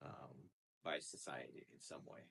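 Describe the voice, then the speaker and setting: A man speaking at a very slow pace, the sound dry and close with no echo. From United States, Romanian immigrant family. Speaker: psychologist, clinical director. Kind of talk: interview. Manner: casual, many fillers.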